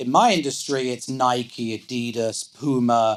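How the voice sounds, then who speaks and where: This is a man with an English accent. His pitch sits in the medium range. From England. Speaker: business executive. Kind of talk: onstage interview. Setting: live event with audience.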